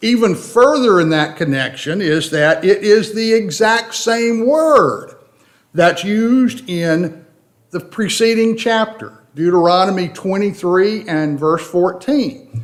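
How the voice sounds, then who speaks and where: With a slight Tennessee accent, a man with a high pitch speaks at a very slow pace and with lively intonation, with audible room echo. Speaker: Bible class teacher. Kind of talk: Bible study lecture.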